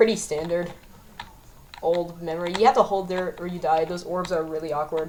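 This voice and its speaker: Through noticeable background noise, a woman speaks in a fairly low pitch with a relaxed tone. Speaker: gaming youtuber. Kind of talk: gameplay commentary. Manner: stammering, self-correcting; casual, relaxed.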